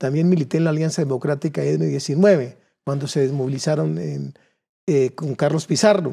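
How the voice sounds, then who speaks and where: A man's fairly high-pitched voice, dark and mellow in tone, at a moderate pace with big swings in loudness against a quiet background. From Colombia, Cundinamarca (Suesca); Cundinamarca, Colombia. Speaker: political candidate; candidate. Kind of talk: political interview. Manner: halting, with repeated words. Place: studio. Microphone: lapel.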